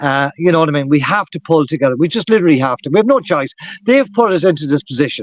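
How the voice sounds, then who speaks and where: A man with an Irish accent, fairly high-pitched, at a very fast pace with lively intonation and a dry, close sound with no echo. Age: 60s. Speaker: activist talk show host. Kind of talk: political discussion. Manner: animated.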